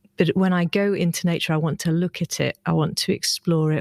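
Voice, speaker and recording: The speaker has a British accent and fairly even intonation at a moderate pace. The sound is dry and close, with no echo. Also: woman. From UK. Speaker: herbology and biology teacher. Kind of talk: casual chat.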